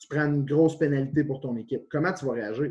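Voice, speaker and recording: A man's dark, mellow voice sits at a fairly high pitch with ordinary pitch variation. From Quebec, Témiscamingue region. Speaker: university football coach, former pro player. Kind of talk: interview.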